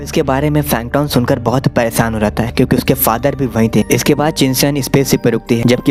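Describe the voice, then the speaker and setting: Over music in the background, a man talks at a moderate pace in a medium pitch with ordinary pitch variation. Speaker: movie explainer. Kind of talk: movie plot recap narration. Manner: casual, friendly.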